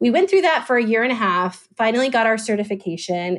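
A woman with a fairly high pitch speaks at a moderate pace in an ordinary speaking voice. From US South, Atlanta, Georgia. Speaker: adoption foundation founder. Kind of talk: interview.

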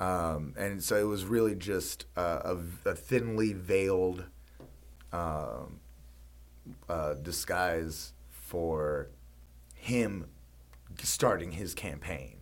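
With audible room echo, a man with a very deep, low pitch speaks at a very slow pace, his intonation lively and his pauses long and frequent. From Mississippi. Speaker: podcast co-host. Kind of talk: casual chat. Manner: halting, many fillers.

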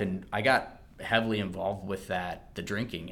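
Room echo is audible as a man speaks at a moderate pace. His fairly low voice is monotone, with flat intonation. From US Mid-Atlantic, Maryland (Calvert County). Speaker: physical therapist. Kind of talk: testimony.

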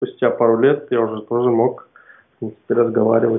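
A man speaks at a moderate pace. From Kazakhstan, Almaty. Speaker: product developer, freelancer. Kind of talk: interview. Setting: remote call. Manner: halting, hesitant.

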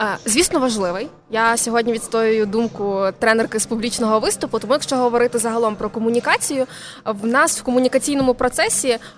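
At a very fast pace, a woman talks in a fairly high pitch with ordinary pitch variation. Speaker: soft skills and public speaking coach. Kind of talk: casual interview. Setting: live broadcast from a mobile studio at a venue.

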